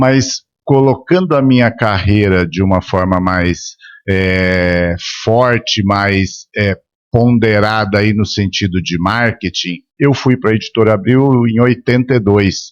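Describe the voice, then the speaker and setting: Very slow and very even in loudness, a man speaks with a fairly low pitch. His pitch variation is ordinary. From São Paulo, Brazil. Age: 60s. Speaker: media and marketing executive. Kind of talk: interview podcast. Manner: halting, repeats words.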